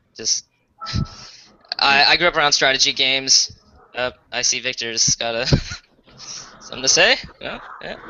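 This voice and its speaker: A man speaks at a medium pitch with big swings in loudness. His pauses are long and frequent. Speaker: gamer joining stream. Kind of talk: casual chat. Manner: fast.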